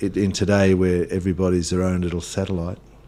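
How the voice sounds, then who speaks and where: This man has an Australian accent and a very deep, low pitch. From Australia, western Victoria (Hamilton). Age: 60s. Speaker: pastor. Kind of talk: radio interview. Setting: radio studio. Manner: hesitant, many fillers.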